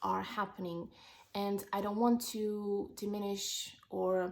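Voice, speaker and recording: A woman speaks at a medium pitch. Her intonation is flat and monotone. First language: not English. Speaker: wellness vlogger. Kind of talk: personal vlog monologue. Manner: halting, with fillers.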